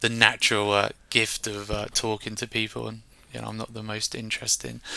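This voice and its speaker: A man with a bright, sharp tone and fairly low pitch speaks in a monotone, flat way at a moderate pace, on a very clean recording with a silent background. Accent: southern English. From England, Reading. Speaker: software solutions engineer. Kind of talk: interview.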